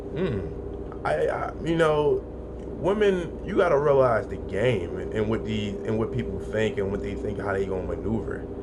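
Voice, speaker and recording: The speech comes at a moderate pace. Audible room echo and noticeable background noise are both present. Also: man. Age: 30s. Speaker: podcast host. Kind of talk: solo podcast monologue. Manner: halting, repetitive.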